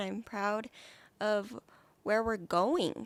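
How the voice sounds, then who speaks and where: A woman's ordinary pitch variation comes across on a very clean recording, silent background. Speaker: podcast co-host. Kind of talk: motivational talk; casual chat.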